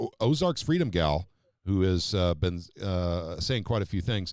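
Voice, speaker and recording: A man's lively intonation stands out on a very clean recording with a silent background. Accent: American. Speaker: political talk show host. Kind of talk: live-stream political talk show. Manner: fast.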